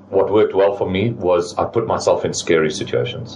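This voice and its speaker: Noticeable background noise accompanies a man speaking at a fairly quick pace. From South Africa, moved from French-speaking country at eleven. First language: French. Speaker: business owner. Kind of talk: interview. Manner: repeats words, hesitant restarts.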